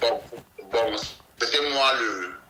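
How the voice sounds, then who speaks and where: Male speech with ordinary pitch variation, audible room echo and noticeable background noise. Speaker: ex-separatist fighter. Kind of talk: interview testimony. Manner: halting.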